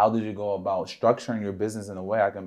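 A man with an American accent and a fairly low pitch talks at a fairly quick pace in a monotone, flat way. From Philadelphia. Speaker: co-host, poet and PR director. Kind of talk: casual chat.

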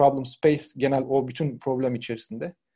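Fairly even in intonation, a man speaks in a dark, mellow tone with vocal fry. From Turkey, Izmir (Karşıyaka). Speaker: product design lead. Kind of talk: casual interview.

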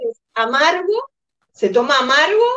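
A woman talks in a normal speaking voice. Her intonation is lively and her pace fairly slow. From Uruguay. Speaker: insurance agent. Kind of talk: casual interview.

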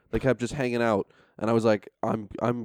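A man with a New York State accent, medium pitch and a very fast pace, in a dry, close sound with no echo. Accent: American, New York State. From upstate New York. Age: 20s. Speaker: comedian. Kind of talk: casual chat.

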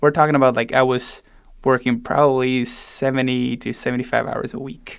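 A man with a Spanish accent, medium in pitch, fairly quick, with big swings in loudness. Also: fairly even intonation. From Argentina (raised in Salta). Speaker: pastry chef and ultrarunner. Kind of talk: casual interview. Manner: casual.

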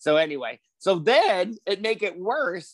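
A man speaks in an animated tone. The sound is dry and close with no echo, over a quiet background. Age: 60s. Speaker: podcast guest, old friend of host. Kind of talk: casual chat. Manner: animated, laughs often.

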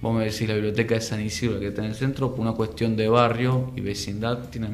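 In a Rioplatense accent, the speaker talks at a very fast pace with fairly even intonation, over noticeable background noise and audible room echo. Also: man. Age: 30s. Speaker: community library manager and former city councillor. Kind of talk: radio interview.

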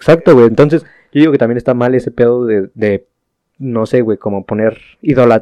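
A man speaks with a Mexican accent. His pitch is medium. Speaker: podcast co-host. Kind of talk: casual chat.

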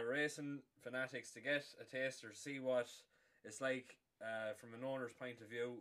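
In an Irish accent, a man with a medium pitch and a bright, sharp tone talks at a fairly slow pace in a monotone, flat intonation. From Ireland. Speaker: podcast host. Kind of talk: casual chat; show intro.

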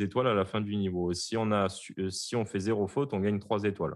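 Moderately paced, fairly low-pitched male voice, an ordinary speaking voice. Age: 30s. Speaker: game developer. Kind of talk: interview.

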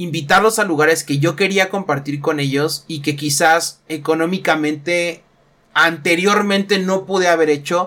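Bright and sharp in tone, a man's fairly high voice keeps a moderate pace. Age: 20s. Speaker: youtuber and sports bettor. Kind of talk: solo podcast monologue. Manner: casual, with fillers.

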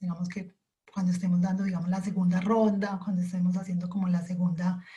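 A woman's somewhat breathy voice, medium in pitch, with a dark, mellow tone and monotone, flat intonation. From Colombia. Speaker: coffee quality specialist. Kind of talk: interview. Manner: halting.

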